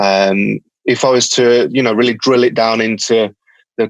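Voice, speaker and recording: In a Birmingham accent, a man talks at a moderate pace and medium pitch with monotone, flat intonation, the sound dry and close with no echo. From England, Birmingham. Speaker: company founder. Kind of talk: podcast interview. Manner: halting, many fillers.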